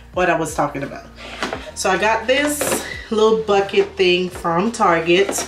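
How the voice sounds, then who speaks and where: A woman talks at a moderate pace with noticeable background noise behind her. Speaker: lifestyle vlogger. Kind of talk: casual vlog chat. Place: bathroom. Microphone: phone near.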